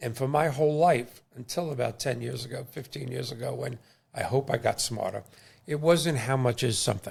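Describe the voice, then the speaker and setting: A man's medium-pitched voice with vocal fry at a fairly quick pace. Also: ordinary pitch variation. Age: 60s. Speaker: podcast host and mortgage lender. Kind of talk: casual interview chat. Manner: animated.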